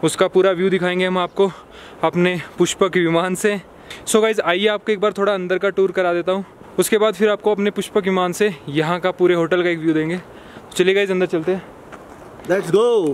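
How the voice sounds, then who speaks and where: At a moderate pace and in a flat monotone, the voice sounds dry with no echo, with light background noise behind it. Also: man, high pitch for a man. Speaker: travel vlogger. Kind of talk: casual vlog chat. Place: street. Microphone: phone near.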